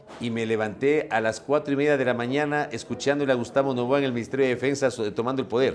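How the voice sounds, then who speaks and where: Against noticeable background noise, a man at a medium pitch speaks very fast in a monotone, flat intonation. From Ecuador (Ambato, later Guayaquil). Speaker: journalist and broadcaster. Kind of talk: interview.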